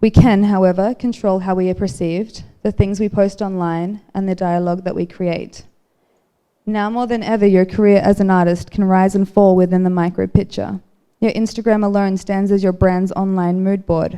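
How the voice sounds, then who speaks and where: A woman's medium-pitched voice, dark and mellow in tone, with monotone, flat intonation. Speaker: artist giving a talk. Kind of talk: prepared speech to audience. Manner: fast.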